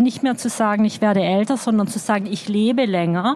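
Noticeable background noise sits behind a woman who speaks in a fairly high voice at a moderate pace. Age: 50s. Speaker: journalist and author. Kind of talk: live interview on stage. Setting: stage at a festival.

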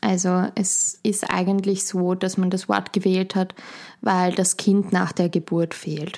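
A woman speaks in a Viennese accent at a very slow pace and medium pitch, her intonation monotone and flat. The recording is very clean, with a silent background. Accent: Austrian German (Vienna area). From Austria, Schwechat near Vienna. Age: young. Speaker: midwife. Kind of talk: interview.

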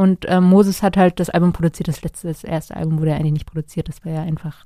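Dry and close with no echo, a woman's voice carries a dark, mellow tone and ordinary pitch variation. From northern Germany, St. Peter-Ording. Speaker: singer-songwriter. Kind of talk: interview. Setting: studio.

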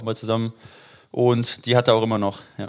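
A man's monotone, flat intonation sits at a medium pitch. He keeps a fairly quick pace. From Dortmund, Germany. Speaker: former footballer, youth coach. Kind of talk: casual interview. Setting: at his home.

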